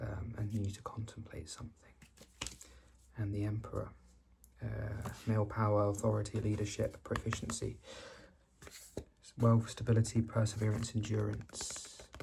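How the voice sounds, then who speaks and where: A soft-spoken man, fairly low in pitch, at a moderate pace, monotone and flat, with long, frequent pauses and noticeable background noise. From Britain. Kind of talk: ASMR tarot card reading.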